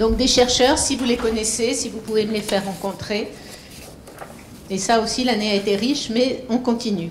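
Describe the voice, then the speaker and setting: A woman's fairly high voice at a moderate pace with fairly even intonation and long, frequent pauses, amid noticeable background noise and audible room echo. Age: old. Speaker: foundation founder. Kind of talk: speech to an audience.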